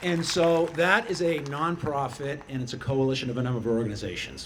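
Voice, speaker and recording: With a Boston accent, the speaker talks at a moderate pace with ordinary pitch variation, and audible room echo fills the recording. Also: man. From Boston area, Massachusetts (Chelsea). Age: 60s. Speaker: middle school teacher and activist. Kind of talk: rally speech. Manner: loud; animated.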